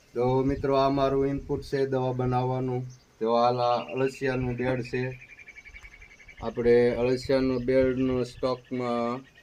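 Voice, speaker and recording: The intonation is monotone and flat. There is noticeable background noise. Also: man, medium pitch for a man. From Saurashtra, Gujarat (Surendranagar district). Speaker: farmer. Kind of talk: farm tour video.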